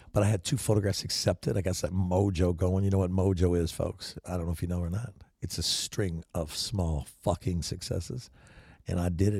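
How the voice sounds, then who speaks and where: Very clean and set against a silent background, the recording captures a man with a very deep, low pitch and a dark, mellow tone that is somewhat breathy. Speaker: podcast host and photographer. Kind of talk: casual monologue. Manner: animated.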